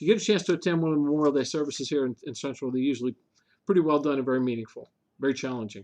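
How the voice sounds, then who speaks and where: Very fast delivery with ordinary pitch variation. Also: man, fairly high pitch for a man. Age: 60s. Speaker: local government official, show co-host. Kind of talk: casual chat.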